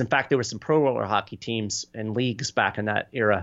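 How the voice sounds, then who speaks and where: With an American accent, a man speaks in a normal speaking voice at a fairly low pitch with ordinary pitch variation. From Kentucky, US. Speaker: political advocacy communications director and author. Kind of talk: podcast interview.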